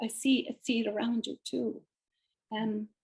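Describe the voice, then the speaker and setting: Dry and close with no echo, a woman talks at a fairly slow pace. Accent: Irish. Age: 70s. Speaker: painter and author. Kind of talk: interview.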